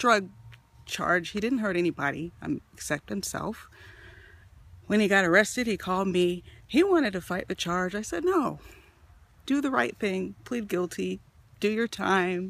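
A woman talks at a moderate pace with long, frequent pauses, the sound dry with no echo. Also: lively intonation. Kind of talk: confessional selfie monologue. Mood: low, worried, confiding. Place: forest. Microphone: phone near.

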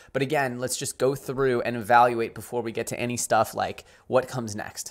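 A man's flat, monotone delivery at a fairly quick pace, quiet background behind him. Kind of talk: commentary. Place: home room.

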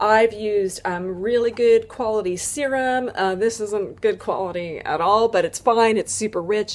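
The pace is moderate. A woman is the one talking. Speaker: lifestyle vlogger. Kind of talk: casual vlog chat. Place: home room. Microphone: webcam.

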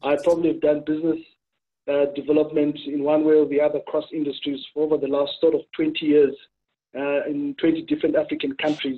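A man talks at a fairly quick clip in a fairly high pitch, his intonation flat and monotone. The background is quiet. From Zimbabwe. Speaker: consulting firm director; webinar panelist. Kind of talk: panel discussion. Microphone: webcam.

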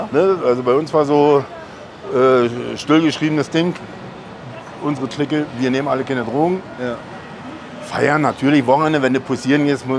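With noticeable noise behind him, a man holds a moderate pace and leaves long, frequent pauses. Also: fairly even intonation. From Berlin. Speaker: professional bodybuilder and channel host; channel host. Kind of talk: casual chat. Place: street.

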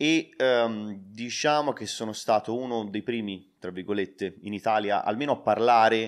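Against a quiet background, a man with a plain, everyday voice talks at a moderate pace and medium pitch, with ordinary pitch variation and hardly any pauses. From Tuscany, Prato. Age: 20s. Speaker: online entrepreneur, crypto YouTuber. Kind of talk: interview, explaining a business method.

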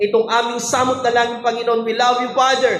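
Over noticeable background noise, a man speaks at an extremely high pitch in a monotone, flat intonation. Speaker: church Bible study leader praying. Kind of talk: fervent intercessory prayer over a livestream, declaring healing and blessing. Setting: online livestream after a Bible study. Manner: fervent, pleading, repeating 'I declare' in rising, emphatic bursts; code-switching between Tagalog and English, some stumbling repetition.

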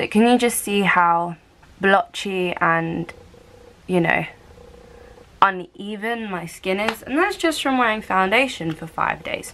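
A woman with a British accent talks at a fairly slow pace, with long, frequent pauses and ordinary pitch variation. Light background noise is present. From United Kingdom. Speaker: lifestyle vlogger. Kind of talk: casual talk to camera. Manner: chatty, upbeat. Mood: relaxed, cheerful. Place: home room. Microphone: phone near.

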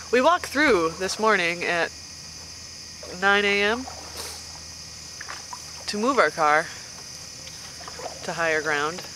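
The speech moves at a very slow pace with long, frequent pauses. The sound is dry with no echo, and background noise is noticeable. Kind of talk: casual vlog chat. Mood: amused, relaxed. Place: boat. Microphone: phone near.

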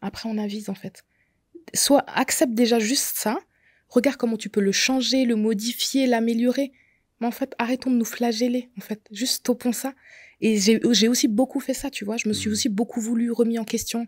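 A woman's fairly high voice with fairly even intonation against a quiet background. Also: dry sound with no echo. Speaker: makeup artist sharing her endometriosis story; podcast guest. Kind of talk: testimony. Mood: earnest, personal testimony. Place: studio. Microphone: studio mic.

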